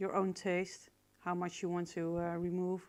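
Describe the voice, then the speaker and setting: Speaking with a Dutch accent, a woman uses a medium pitch at a very slow pace. The recording is very clean, with a silent background. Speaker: photo retoucher. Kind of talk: tutorial. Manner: halting, many fillers.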